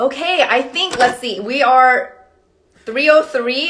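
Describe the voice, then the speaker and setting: Speaking with a Korean accent, a woman uses a high pitch and a bright, sharp tone with ordinary pitch variation. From South Korea, then Canada, raised mostly in California. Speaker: astrologer. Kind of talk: livestream talk. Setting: live video stream.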